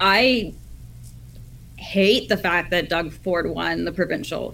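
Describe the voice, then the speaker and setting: In an angry tone, a woman with a Canadian accent speaks at a fairly slow pace. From Ottawa, Canada. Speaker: caller. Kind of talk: heated debate.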